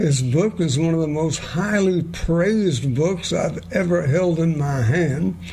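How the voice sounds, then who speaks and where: Amid noticeable background noise, a man speaks very slowly at a fairly high pitch. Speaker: talk radio host. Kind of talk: radio interview host.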